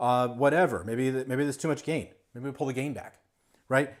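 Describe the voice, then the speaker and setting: The man speaks at a medium pitch with fairly even intonation. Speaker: guitar gear product demonstrator. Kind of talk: livestream tutorial. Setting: livestream studio. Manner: fast.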